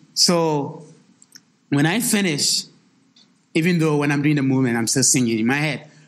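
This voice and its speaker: A man with a fairly high voice speaks at a moderate pace, leaving long, frequent pauses, with ordinary pitch variation and very even loudness. Audible room echo surrounds his voice. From Ghana. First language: a Ghanaian language. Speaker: choreographer and dance professor. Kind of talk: interview before a live audience. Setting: stage with live audience. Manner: halting, with many repetitions.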